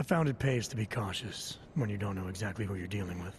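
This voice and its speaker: Over clear background noise, a man does a put-on character voice that is raspy and fairly low, delivered deadpan at a very fast pace. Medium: video game. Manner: low, terse, deadpan.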